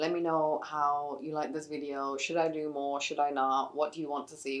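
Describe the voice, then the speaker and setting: This woman talks at a moderate speed in a very deep, low pitch. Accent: American. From England. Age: 20s. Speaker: beauty vlogger. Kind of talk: casual chat while doing makeup.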